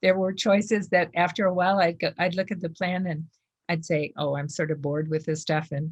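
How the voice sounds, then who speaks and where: The somewhat breathy voice moves at a fairly quick pace. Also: woman. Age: 70s. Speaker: food addiction recovery speaker. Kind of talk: interview.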